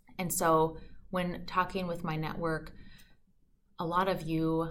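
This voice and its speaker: An American accent at a fairly slow pace, with audible room echo. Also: woman. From Minnesota, US Midwest. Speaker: podcast host, financial advisor. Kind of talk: podcast monologue.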